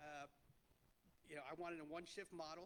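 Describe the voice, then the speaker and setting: A man at a fairly high pitch with an American accent, monotone, flat intonation and a very fast pace. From New Jersey (Clifton). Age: 50s. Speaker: restaurant entrepreneur. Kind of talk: panel talk to an audience. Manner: loud; halting.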